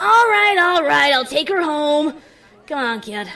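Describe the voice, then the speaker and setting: A put-on character voice sounds female and sits at a high pitch for a woman. It moves at a fairly slow pace. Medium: read story. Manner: casual, teasing.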